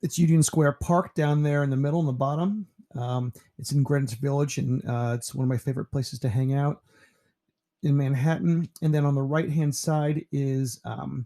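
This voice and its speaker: In a dry, close sound with no echo, a man with an American accent speaks at a moderate pace and fairly high pitch, with a relaxed, dark, mellow, somewhat breathy tone and ordinary pitch variation. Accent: slight New York accent, stronger when tired. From New York (Pearl River), later Ohio. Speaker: teacher. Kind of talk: casual self-introduction presentation. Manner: relaxed, with frequent fillers.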